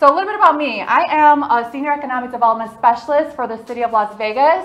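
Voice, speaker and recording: The woman talks at a very fast pace. Her voice is high-pitched. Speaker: event host presenter. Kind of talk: presentation talk. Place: hall.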